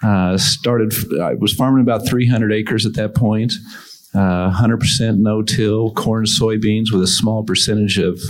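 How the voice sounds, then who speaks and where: An unremarkable speaking voice, a man's fairly low pitch moves with fairly even intonation at a fairly slow pace. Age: 50s. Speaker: farmer. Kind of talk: panel discussion.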